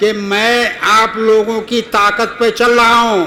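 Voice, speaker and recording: Over noticeable background noise, a man with a high pitch speaks in a raised, projected voice with fairly even intonation. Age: 70s. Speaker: local election candidate. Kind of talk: campaign speech. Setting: seated before local supporters. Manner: emphatic, repetitive appeals.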